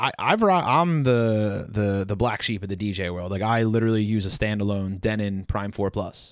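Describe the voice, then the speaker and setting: A man with a Philadelphia accent talks in a fairly low voice with hardly any pauses. The recording is very clean, with a silent background. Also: ordinary pitch variation, moderate pace. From Delaware County, Pennsylvania (Philadelphia area). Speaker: DJ and event business co-owner. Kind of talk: casual chat.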